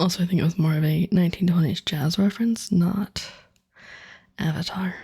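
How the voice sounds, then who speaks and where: The loudness stays very even and the pace is fairly quick. Intonation is fairly even, with a dark, mellow tone. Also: woman. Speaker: streamer. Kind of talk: casual chat.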